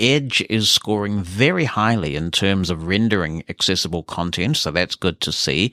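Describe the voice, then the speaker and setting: Heard on a very clean recording with a silent background and a dry, close sound with no echo, a man speaks with a New Zealand accent. His tone is bright and sharp, and his pace moderate. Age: 50s. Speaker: podcast host. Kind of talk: podcast monologue, reading listener emails.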